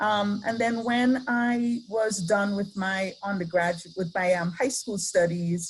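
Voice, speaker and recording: A woman's medium-pitched voice with an Antiguan accent, fairly slow with hardly any pauses, ordinary pitch variation and audible room echo. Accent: Antiguan Caribbean. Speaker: professor. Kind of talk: lecture. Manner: hesitant, many fillers.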